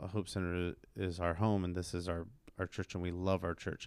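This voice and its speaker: An animated man with a very deep, low pitch on a very clean recording with a silent background. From US, Mexican-American. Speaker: podcast host and church minister. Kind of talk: casual chat. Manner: animated, laughs often.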